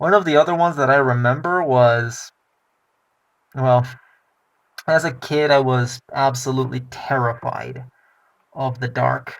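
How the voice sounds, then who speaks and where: A man with a non-native accent, fairly slow and fairly even in intonation, broken by long, frequent pauses. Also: medium pitch for a man. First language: not English. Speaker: personal vlogger. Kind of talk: personal testimony.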